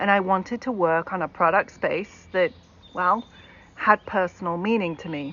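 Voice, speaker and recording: Against noticeable background noise, a woman with a British accent speaks at a moderate pace with ordinary pitch variation. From Britain. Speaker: keynote speaker, tech accessibility executive. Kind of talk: keynote talk.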